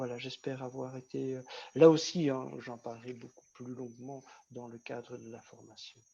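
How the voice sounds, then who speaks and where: At a moderate pace, a man speaks with a dark, mellow tone and medium pitch, his intonation monotone and flat while his loudness swings widely. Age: 60s. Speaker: vocational trainer. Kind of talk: online workshop talk.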